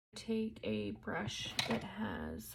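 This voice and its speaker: A woman mumbles her words. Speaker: mom lifestyle blogger. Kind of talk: casual makeup tutorial talk to camera. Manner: mumbling, as if talking to herself.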